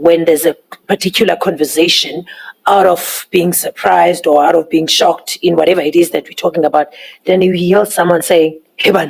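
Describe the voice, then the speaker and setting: In a South African accent, a woman with a fairly low pitch speaks at a fairly quick pace with fairly even intonation and very even loudness, in a dry, close sound with no echo. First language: Xhosa. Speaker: interpreter. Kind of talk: testimony.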